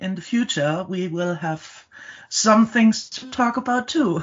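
With a German accent, a woman speaks at a very slow pace, somewhat breathy. Her intonation is lively. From Germany. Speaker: storytelling company co-founder. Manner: halting, with fillers and repeated words.

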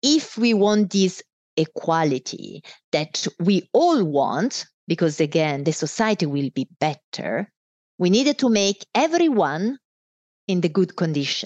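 A woman with an Italian accent speaks at a medium pitch, her voice making very wide pitch swings. The sound is dry and close with no echo, against a quiet background. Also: fairly slow pace. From Italy. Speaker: business executive. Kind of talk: casual interview.

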